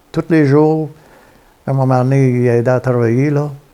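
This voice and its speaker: In a Quebec accent, the speaker uses a dark, mellow tone with fairly even intonation at a fairly slow pace. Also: man. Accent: Québécois French. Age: 70s. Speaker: retired trucker. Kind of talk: interview storytelling. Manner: halting.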